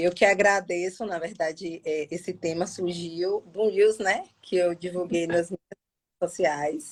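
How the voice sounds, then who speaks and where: Very slowly, a woman speaks at medium pitch with fairly even intonation, the sound dry and close with no echo. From Feira de Santana, Bahia, Brazil. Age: 30s. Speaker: police officer. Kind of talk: live online interview. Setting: live stream.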